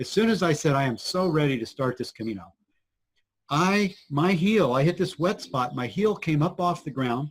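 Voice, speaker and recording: With an ordinary speaking voice, a man talks at a moderate pace, his fairly high pitch carried by lively intonation. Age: 60s. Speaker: spiritual teacher. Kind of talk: interview storytelling.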